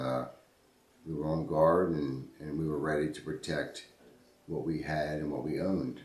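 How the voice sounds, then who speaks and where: Speaking at a moderate pace with an American accent, the voice has vocal fry and fairly even intonation, with audible room echo. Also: man. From Baltimore, Maryland (Highlandtown). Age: 50s. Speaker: interviewee recalling history. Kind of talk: oral history interview. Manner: halting, many repetitions.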